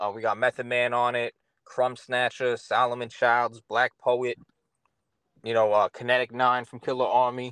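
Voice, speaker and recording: A man with a New York accent speaks at a medium pitch and a moderate pace in a monotone, flat intonation, with a dry, close sound and no echo. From Long Island, New York. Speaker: rapper and producer. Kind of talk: casual interview. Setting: on tour in New Jersey.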